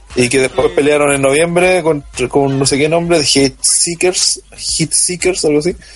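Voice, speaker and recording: With noticeable background noise behind him, a man speaks at a moderate pace with hardly any pauses, a fairly high pitch, fairly even intonation, and very even loudness. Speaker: wrestling podcast panelist. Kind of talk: casual chat. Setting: online voice call.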